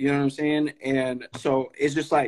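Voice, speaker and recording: A man with an American accent has a normal speaking voice, fairly high in pitch with fairly even intonation. He speaks at a moderate pace, the sound dry and close with no echo. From Sacramento area, California (grew up in North Highlands, from Stockton). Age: young. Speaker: podcast host. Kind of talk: casual interview conversation. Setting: live stream.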